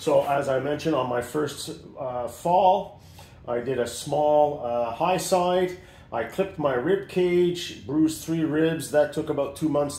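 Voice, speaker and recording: A man speaks at a fairly slow pace in a dark, mellow, somewhat breathy tone with ordinary pitch variation and audible room echo. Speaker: motorcycle rider reviewing his gear. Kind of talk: casual gear review.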